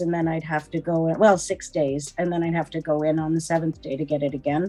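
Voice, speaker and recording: Music plays in the background. A woman with a Canadian accent speaks at a fairly low pitch. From Ontario, Canada. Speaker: guest sharing personal experience. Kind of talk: casual interview, personal testimony. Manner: hesitant, many fillers.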